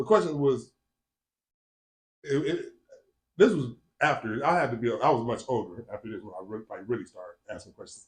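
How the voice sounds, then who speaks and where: Speaking at a fairly quick pace with an American accent, a man leaves long, frequent pauses and swings widely in loudness. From Northwest Indiana (Gary area). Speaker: podcast guest. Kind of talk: casual interview. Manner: casual, conversational.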